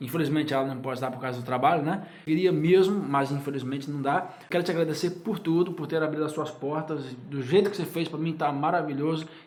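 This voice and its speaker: The recording has audible room echo and noticeable background noise. A man with a fairly high pitch talks at a fairly quick pace with fairly even intonation. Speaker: YouTuber. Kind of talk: casual chat. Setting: guest's home.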